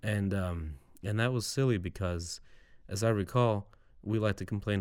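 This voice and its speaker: In a very clean recording with a silent background, a man with a normal speaking voice talks at a fairly low pitch with ordinary pitch variation. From Serbia, moved to US Midwest at seven. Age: 30s. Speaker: voter, immigrant. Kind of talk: interview. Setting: studio.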